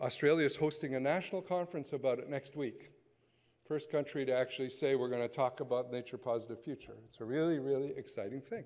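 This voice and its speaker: A man's medium-pitched voice with a Canadian accent at a fairly quick pace. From western Canada. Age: 60s. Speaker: conservationist. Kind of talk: keynote speech. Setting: conference stage with audience. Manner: animated.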